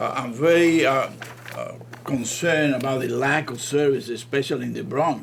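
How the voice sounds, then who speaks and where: Male speech with audible room echo, backed by noticeable background noise. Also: moderate pace. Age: 80s+. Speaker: trustee, psychiatrist. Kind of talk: meeting discussion. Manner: halting.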